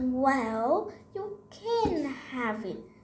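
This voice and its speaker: Using a put-on character voice, a woman speaks at a high pitch with very wide pitch swings. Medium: read story. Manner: stammering, fearful.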